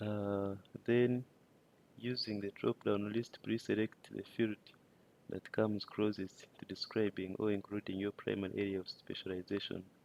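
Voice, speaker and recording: A man with a non-native accent and fairly low pitch speaks in a monotone, flat intonation, with a dry, close sound and no echo. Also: moderate pace. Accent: non-native English accent, self-noted. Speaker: data collection instructor. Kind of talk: tutorial. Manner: halting, many fillers.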